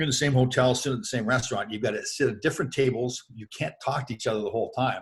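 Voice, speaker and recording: With a Canadian accent, a man talks at a very fast pace with hardly any pauses, his medium pitch showing ordinary variation and his voice somewhat breathy. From Canada. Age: 60s. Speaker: former hockey player. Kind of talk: interview. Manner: animated.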